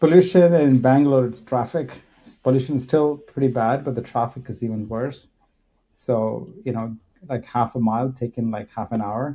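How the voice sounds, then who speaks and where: A man speaks with a Kannada accent at a medium pitch and moderate pace. His tone is dark and mellow, with ordinary pitch variation. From India. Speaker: tech executive. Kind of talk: casual chat. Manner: halting.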